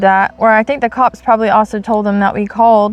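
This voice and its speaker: Loud and at a very fast pace, a woman speaks with a dry, close sound with no echo amid noticeable background noise. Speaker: faith channel co-host. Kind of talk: casual discussion.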